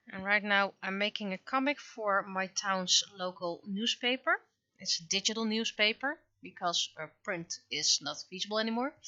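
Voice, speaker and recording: At a moderate pace, the speaker talks with a Dutch accent, the loudness swinging widely. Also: woman, medium pitch for a woman, ordinary pitch variation. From Netherlands. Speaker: webcomic artist and streamer. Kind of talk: casual livestream chat while drawing. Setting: livestream. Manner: halting, many fillers.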